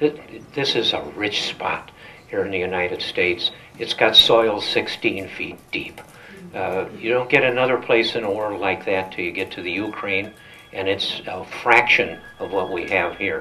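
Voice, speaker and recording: Noticeable background noise runs behind a man's voice. He speaks at a fairly low pitch and a moderate pace. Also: ordinary pitch variation. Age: 80s+. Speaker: business owner and political activist. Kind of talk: political speech. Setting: breakfast event with audience. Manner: halting, many fillers.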